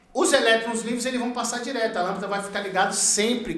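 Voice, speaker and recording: The speaker's tone is animated. There is noticeable background noise and audible room echo. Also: man. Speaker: electrician teaching a course. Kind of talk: tutorial.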